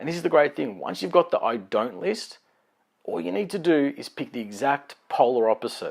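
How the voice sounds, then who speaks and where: In a very clean recording with a silent background, a man with a fairly high pitch and vocal fry swings his pitch very widely. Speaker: life coach. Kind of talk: motivational talk. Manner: fast; animated.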